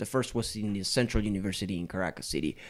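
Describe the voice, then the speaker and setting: The recording is very clean, with a silent background. A man with a Spanish accent speaks with ordinary pitch variation. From Venezuela, Maracaibo (Zulia state). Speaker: musician, bass player. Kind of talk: casual chat. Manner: halting, with hesitations and repeats.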